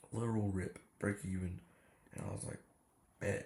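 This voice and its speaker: Very deep and low, a man's voice has a dark, mellow tone with vocal fry, ordinary pitch variation and a moderate pace. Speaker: day trader. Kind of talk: casual trading recap. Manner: casual slangy.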